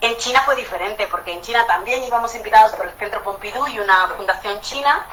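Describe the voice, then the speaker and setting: Fairly quick speech from a woman, fairly high in pitch with ordinary pitch variation, amid noticeable background noise. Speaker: architect. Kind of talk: talk in an online panel. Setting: video call. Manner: animated.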